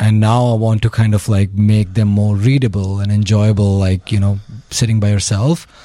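A man talks with an Indian accent. His pitch is fairly low and his pace moderate. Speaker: storyteller. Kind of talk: casual interview. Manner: joking.

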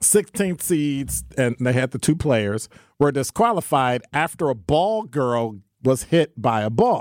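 A man with an American accent talks at a fairly slow pace, with lively intonation and a plain, everyday voice. The sound is dry and close, with no echo. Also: medium pitch for a man. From US Midwest. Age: 60s. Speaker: radio talk show co-host. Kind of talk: talk radio conversation. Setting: studio.

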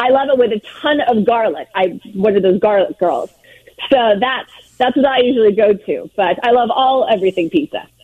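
With an American accent, the speaker talks at a fairly quick pace using lively intonation. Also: woman, high pitch for a woman. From Southern California. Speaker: world record holder, pizza collector. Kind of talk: interview. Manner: animated.

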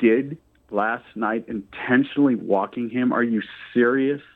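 With a normal speaking voice, a man of medium pitch speaks at a fairly slow pace. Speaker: caller. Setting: phone call.

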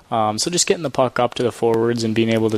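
A man at a medium pitch, fairly even intonation, dry and close with no echo, over noticeable background noise. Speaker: pro hockey player. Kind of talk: postgame interview. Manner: hesitant, filler-heavy.

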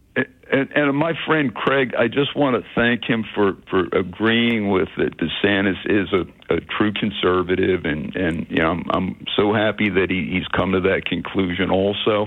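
A man's fairly low, plain, everyday voice at a moderate pace with ordinary pitch variation. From Philadelphia. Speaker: caller. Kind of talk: call-in talk radio. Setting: phone call.

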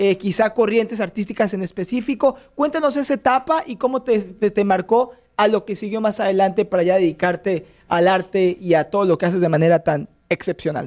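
A man's high-pitched voice with a Mexican accent, lively intonation and a moderate pace. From Mexico. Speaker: sports radio host. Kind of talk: radio interview. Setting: radio studio.

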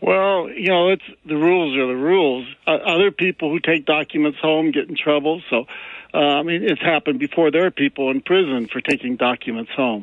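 An unremarkable speaking voice from a man, fairly high in pitch with ordinary pitch variation, moves at a fairly quick pace. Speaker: caller. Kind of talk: call-in comment. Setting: phone call.

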